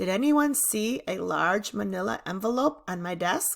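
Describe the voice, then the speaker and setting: Using a put-on character voice, a woman speaks at a moderate pace in a raspy, medium-pitched tone that swings very widely in pitch. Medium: read story.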